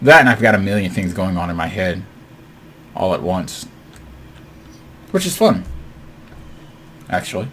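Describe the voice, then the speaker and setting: A man's very deep, low voice with ordinary pitch variation and an animated tone, long, frequent pauses, audible room echo and noticeable background noise. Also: moderate pace. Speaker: gaming video creator. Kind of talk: gameplay commentary.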